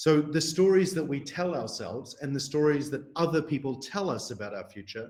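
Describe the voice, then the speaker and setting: A man with a New Zealand accent talks fairly fast in a somewhat breathy, fairly high voice with ordinary pitch variation. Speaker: researcher. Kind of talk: lecture.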